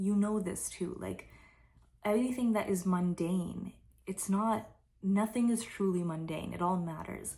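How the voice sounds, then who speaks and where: Soft-spoken and somewhat breathy, a woman uses a medium pitch and a dark, mellow tone. She moves at a fairly slow pace with fairly even intonation, and audible room echo is present. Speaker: spiritual tarot reader. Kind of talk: intuitive reading monologue. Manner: relaxed.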